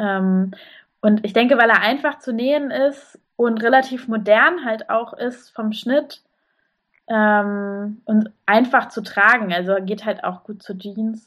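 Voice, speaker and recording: Speaking at a very slow pace, a woman uses a fairly high pitch with ordinary variation. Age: 20s. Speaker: sewing blogger. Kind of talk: podcast interview.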